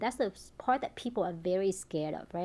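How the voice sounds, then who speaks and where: With a Vietnamese accent, a woman talks at a very fast pace and medium pitch, her intonation lively against a quiet background. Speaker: tech startup founder. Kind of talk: interview.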